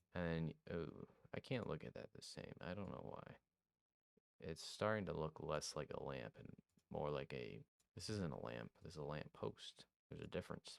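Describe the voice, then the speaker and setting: In a dry, close recording with no echo, a man with a very deep, low pitch and vocal fry talks at a moderate pace with lively intonation and long, frequent pauses. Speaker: game dev YouTuber. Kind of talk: tutorial. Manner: animated.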